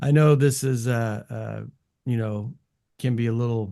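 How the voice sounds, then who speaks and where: This man has a Californian accent and a dark, mellow tone. He talks at a moderate pace with fairly even intonation. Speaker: music production channel host, interviewer. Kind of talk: casual interview. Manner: hesitant, many fillers.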